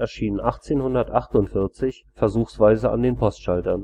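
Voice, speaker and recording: Pitch varies in an ordinary way as the speech moves at a moderate pace. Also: man. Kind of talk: encyclopedia article reading.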